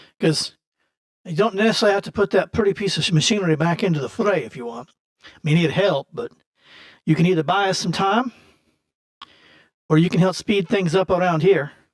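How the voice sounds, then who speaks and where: In a put-on character voice, a man talks raspily at a high pitch and a fairly quick pace, with long, frequent pauses and big swings in loudness, in a dry, close sound with no echo. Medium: actual play. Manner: plain-spoken, practical.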